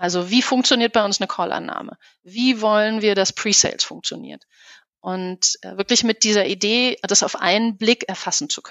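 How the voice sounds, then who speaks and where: Speaking with an unremarkable speaking voice, a woman talks at a moderate pace and fairly high pitch, her intonation fairly even and her loudness swinging widely. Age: 40s. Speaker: business consultant. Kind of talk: interview.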